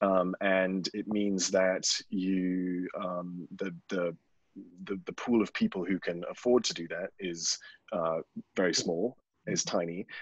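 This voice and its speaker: A man with a British accent, very deep and low in pitch, monotone and flat, at a very slow pace. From UK. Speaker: media technology panelist. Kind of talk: webinar panel discussion. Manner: halting, many fillers and restarts.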